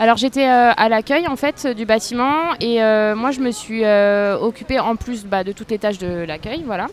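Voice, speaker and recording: With a plain, everyday voice, a woman talks at a moderate pace with hardly any pauses, her fairly high pitch showing ordinary pitch variation. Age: 30s. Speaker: school administration secretary. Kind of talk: interview. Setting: outdoors on a café terrace.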